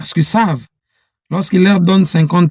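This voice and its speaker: This man has a high pitch and a dark, mellow tone, recorded with a dry, close sound and no echo. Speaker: political commentator. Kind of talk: political monologue. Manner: halting; animated.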